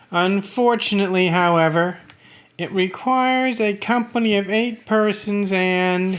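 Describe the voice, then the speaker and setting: On a very clean recording with a silent background, a man puts on a high-pitched character voice at a moderate pace. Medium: read story. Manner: smooth, ingratiating.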